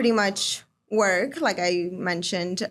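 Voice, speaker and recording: The speaker talks very slowly with a Chicago accent and fairly even intonation. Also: woman. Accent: Chicago-area American. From northern Illinois, Chicago area. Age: 20s. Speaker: home care coordinator. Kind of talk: casual interview.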